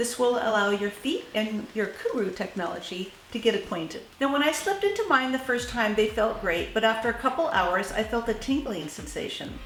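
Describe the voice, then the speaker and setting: Animated and fairly quick, a woman talks at a fairly high pitch with ordinary pitch variation and hardly any pauses, while audible room echo and noticeable background noise come through. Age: 60s. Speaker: shoe reviewer. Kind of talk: product review.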